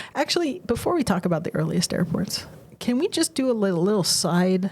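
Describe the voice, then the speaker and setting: Noticeable background noise sits behind a woman speaking at medium pitch and a fairly quick pace. Her intonation is lively and her tone animated, with very even loudness. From France. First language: French. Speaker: podcast co-host. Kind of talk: casual chat.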